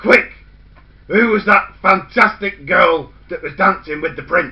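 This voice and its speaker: In a put-on character voice, a man speaks at a high pitch and a fairly slow pace. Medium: read story. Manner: brusque, bossy.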